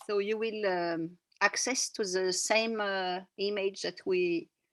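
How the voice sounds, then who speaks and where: Speaking at a very slow pace in a French accent, a woman uses a medium pitch with ordinary pitch variation. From France. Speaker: workshop facilitator. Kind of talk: guided workshop instructions. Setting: video call.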